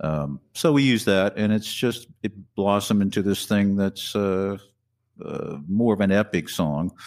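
In an American accent, a man with an ordinary speaking voice talks at a fairly slow pace and fairly low pitch with ordinary pitch variation, on a very clean recording with a silent background. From US Midwest. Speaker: guitarist and singer. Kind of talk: casual interview chat.

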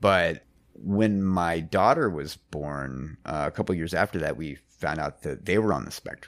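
In a very clean recording with a silent background, a man with a very deep, low pitch and vocal fry speaks with ordinary pitch variation. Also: fairly slow pace. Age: 40s. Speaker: musician and mastering engineer. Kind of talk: casual chat. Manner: halting.

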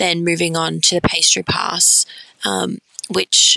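With an Australian accent, a woman talks at a moderate pace in a dry, close sound with no echo. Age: 20s. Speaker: pastry chef and dessert bar owner. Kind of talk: interview.

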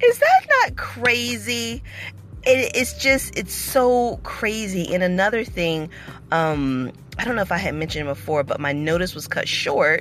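A woman speaks in an animated tone at a moderate pace while music plays in the background. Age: 40s. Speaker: vlogger and former nanny. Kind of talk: casual monologue vlog.

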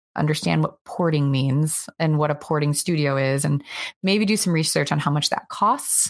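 The speech runs at a moderate pace with very even loudness. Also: woman, very deep, low pitch for a woman, ordinary pitch variation. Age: 30s. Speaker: indie game studio co-founder handling business. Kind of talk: interview.

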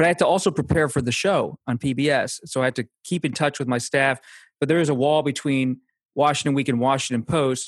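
Here a man with an American accent uses an ordinary speaking voice, fairly high in pitch, with fairly even intonation at a fairly quick pace. The very clean recording has a silent background and a dry, close sound with no echo. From Pennsylvania. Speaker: political journalist. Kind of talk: interview.

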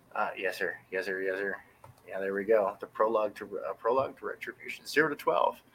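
A man with an American accent at a moderate pace. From US West Coast, San Francisco Bay Area. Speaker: indie comic book artist. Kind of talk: casual interview chat.

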